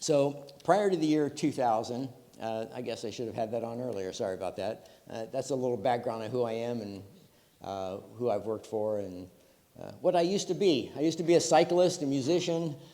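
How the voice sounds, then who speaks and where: In audible room echo, a man of medium pitch speaks at a fairly quick pace with lively intonation and a dark, mellow tone. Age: 70s. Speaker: retired computer engineer, conference speaker. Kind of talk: conference talk. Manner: many filler words.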